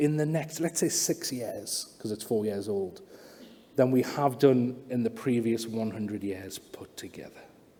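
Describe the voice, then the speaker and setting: A man's animated tone at a moderate pace, with noticeable background noise. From northern England, Newcastle. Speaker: AI in education speaker. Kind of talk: keynote speech to live audience. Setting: stage with audience. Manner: animated, interactive; hesitant fillers, repetitions.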